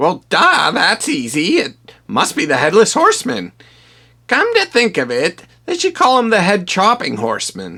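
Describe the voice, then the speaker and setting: A cartoonish character voice with a fairly high pitch moves at a moderate pace. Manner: sarcastic, offhand.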